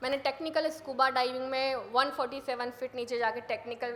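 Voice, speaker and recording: With monotone, flat intonation, a woman talks in a high pitch. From India, Madhya Pradesh (Sehore district village). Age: 30s. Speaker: mountaineer. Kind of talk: motivational talk. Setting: stage with audience.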